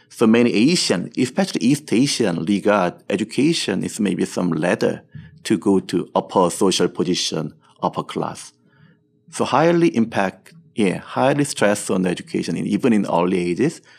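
A man with a Korean accent and a fairly low pitch talks at a moderate pace with very wide pitch swings. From Seoul, South Korea. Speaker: entrepreneur, company executive. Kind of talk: interview. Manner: halting.

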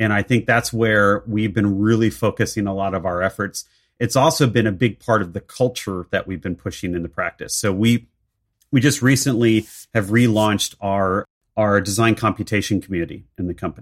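A plain, everyday voice moves at a fairly quick pace with ordinary pitch variation. The sound is dry and close with no echo, on a very clean recording with a silent background. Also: man, fairly low pitch for a man. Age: 40s. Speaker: architect and technology leader. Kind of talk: interview conversation.

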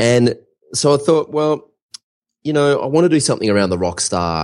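With an Australian accent, a man speaks with very wide swings in pitch. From Australia, Melbourne. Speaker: online course entrepreneur. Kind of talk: interview.

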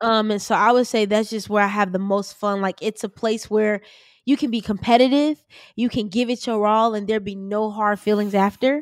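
A woman with an American accent speaks at a moderate pace, fairly high in pitch and with fairly even intonation, in a dry, close sound with no echo. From US Midwest, Chicago West Side. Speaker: podcast host and student. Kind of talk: interview.

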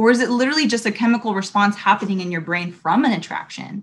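A somewhat breathy woman with an American accent talks at a very fast pace and a medium pitch, with ordinary pitch variation. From Southern California, Long Beach. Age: 30s. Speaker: women's ministry leader and recruiter. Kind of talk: casual interview devotional.

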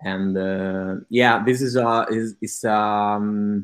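The speaker has an Italian accent, and the background is quiet. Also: man. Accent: Italian, noticeable. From Italy. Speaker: digital advertiser. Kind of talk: testimonial interview. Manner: halting, many fillers.

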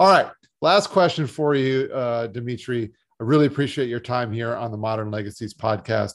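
An unremarkable speaking voice from a man with an American accent, medium-pitched with ordinary pitch variation, at a moderate pace against a quiet background. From South Florida. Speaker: podcast host, financial firm founder. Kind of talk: interview.

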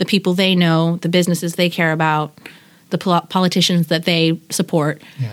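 A woman speaks with an American accent at a fairly quick pace. Her pitch sits fairly low. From Pacific Northwest, US (Washington). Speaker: artist and preschool teacher. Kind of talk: casual interview.

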